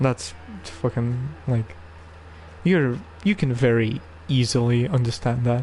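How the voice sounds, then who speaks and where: Somewhat breathy and dark, mellow in tone, a man speaks fairly slowly in a medium pitch. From Russia. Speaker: video game streamer. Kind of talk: live stream commentary. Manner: casual, hesitant with fillers.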